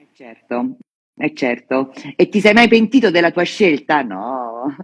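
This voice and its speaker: A woman speaks at a very slow pace in a very deep, low voice that swings very widely in pitch. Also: big swings in loudness. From Veneto, Treviso. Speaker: wine journalist. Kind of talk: interview. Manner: casual, hesitant.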